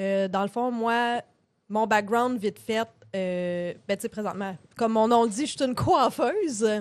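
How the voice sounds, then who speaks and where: A woman speaks at a fairly slow pace with a fairly high pitch. She has a plain, everyday voice with ordinary pitch variation. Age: 30s. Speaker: podcast co-host, hairdresser. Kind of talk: casual chat. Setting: live stream from home studio.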